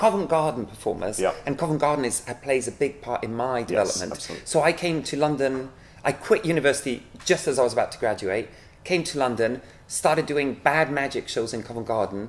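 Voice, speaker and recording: A man speaks at a fairly quick pace, his pitch shifting in an ordinary way. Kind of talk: interview answer.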